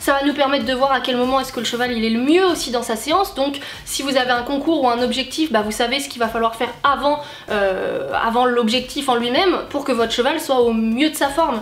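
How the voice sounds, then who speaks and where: A woman with a high pitch talks at a fairly quick pace amid audible room echo and noticeable background noise. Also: ordinary pitch variation. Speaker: YouTuber, horse and dog owner. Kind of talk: casual vlog talk to camera. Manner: many hesitations (euh).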